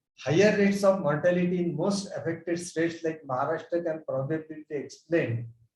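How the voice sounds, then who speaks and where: With audible room echo, a man speaks at a moderate pace, his high pitch held to a fairly even intonation. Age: 70s. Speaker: physician. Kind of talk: conference presentation.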